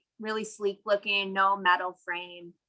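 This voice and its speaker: A woman's medium-pitched voice with a bright, sharp tone. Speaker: city solar program presenter. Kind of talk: webinar presentation. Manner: fast.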